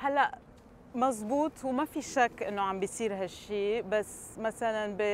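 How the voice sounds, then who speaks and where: A woman talks at a very slow pace with a fairly high pitch and ordinary pitch variation. The sound is dry with no echo, over light background noise. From Palestine. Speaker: chocolate entrepreneur. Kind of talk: TV interview. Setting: studio with audience. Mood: earnest, reflective. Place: street.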